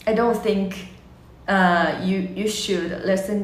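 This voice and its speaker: Over noticeable background noise, a woman with a Chinese accent speaks at a fairly slow pace. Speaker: language teacher. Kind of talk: casual monologue. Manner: halting, many fillers.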